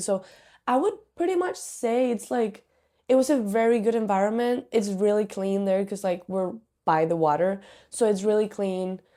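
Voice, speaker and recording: The speaker has a Spanish accent and a dark, mellow tone. Delivery stays at a moderate pace with fairly even intonation. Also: woman, very clean recording, silent background. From Spain, Canary Islands (Tenerife). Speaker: student athlete. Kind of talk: interview. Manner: casual, many fillers.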